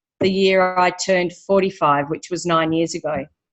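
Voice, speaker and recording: At a moderate pace, a woman with an Australian accent talks at a medium pitch with fairly even intonation. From Western Australia. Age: 50s. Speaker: personal trainer. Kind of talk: testimony.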